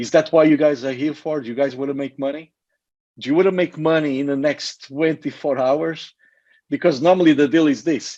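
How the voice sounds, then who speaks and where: A man's fairly high voice with a dark, mellow tone, fairly even intonation and a fairly quick pace against a quiet background. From Portugal. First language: Portuguese. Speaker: network marketing presenter. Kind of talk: sales pitch.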